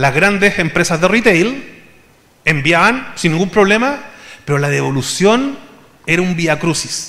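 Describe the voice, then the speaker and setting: A high-pitched man with a Chilean accent, lively intonation, fairly slow pace, audible room echo. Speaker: conference speaker. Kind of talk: conference talk.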